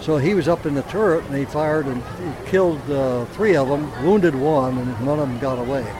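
A man talks with ordinary pitch variation and hardly any pauses. Noticeable background noise sits behind him. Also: fairly high pitch for a man, fairly quick pace. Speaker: World War II veteran. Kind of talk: interview, anecdote. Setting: outdoors. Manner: animated.

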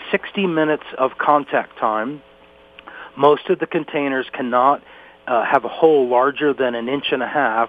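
Amid noticeable background noise, a man with an American accent and medium pitch speaks at a moderate pace. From northeast Pennsylvania. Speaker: wildlife center staff, bear product tester. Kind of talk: interview.

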